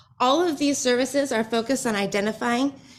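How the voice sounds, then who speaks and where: This woman's voice sits high in pitch and moves up and down in an ordinary way. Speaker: business and leadership coach. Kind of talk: pitch presentation to audience. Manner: fast.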